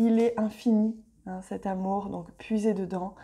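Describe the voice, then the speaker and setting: Speaking at a very slow pace, a woman uses a fairly high pitch, a dark, mellow tone and monotone, flat intonation. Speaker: tarot and oracle reader. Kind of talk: daily oracle card reading. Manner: warm, affectionate.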